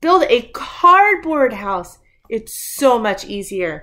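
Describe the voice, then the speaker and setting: A put-on character voice with very wide pitch swings at a very slow pace. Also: female-sounding voice, high pitch for a woman. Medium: read story.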